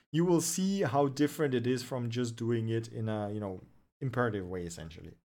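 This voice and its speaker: A man at a medium pitch and fairly quick pace, with very wide pitch swings. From Russia. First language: Russian. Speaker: web development streamer and researcher. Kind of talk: livestream tech news show and Q&A. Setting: livestream from home. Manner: casual, with fillers and restarts.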